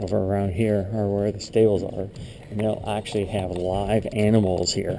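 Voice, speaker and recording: A man talks at a moderate pace with monotone, flat intonation. Noticeable background noise and audible room echo accompany him. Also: fairly low pitch for a man. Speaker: YouTuber. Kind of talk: walkthrough tour narration. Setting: indoors in a church building. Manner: quiet; soft-spoken.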